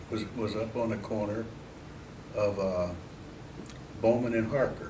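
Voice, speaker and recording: Over noticeable background noise, a man of medium pitch with a Midwestern American accent talks at a fairly slow pace with fairly even intonation and long, frequent pauses. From Mansfield, Ohio. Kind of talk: oral history interview answer.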